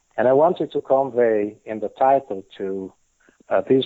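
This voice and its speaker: Speaking in an Italian accent, a man keeps a moderate pace with ordinary pitch variation. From Italy. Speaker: patent attorney and author. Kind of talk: podcast interview. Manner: hesitant, many fillers.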